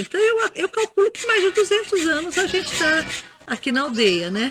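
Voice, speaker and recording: A woman talks at a moderate pace with very wide pitch swings, the sound dry and close with no echo. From Brazil, Carapicuíba, São Paulo state. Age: 60s. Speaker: local tradition keeper and author. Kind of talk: interview. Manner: halting, with repetitions.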